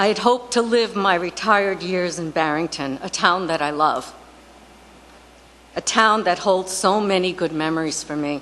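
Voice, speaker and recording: A woman with an ordinary speaking voice, medium pitch, ordinary pitch variation and a moderate pace. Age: 60s. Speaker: retired resident speaking at public comment. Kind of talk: public comment at town council meeting. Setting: town council meeting.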